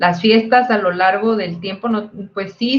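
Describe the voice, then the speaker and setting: With a northern Mexican accent, a woman speaks fairly slowly in a fairly high pitch. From northern Mexico (Tamaulipas/Monterrey area). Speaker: physicist, PhD researcher. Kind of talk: panel talk.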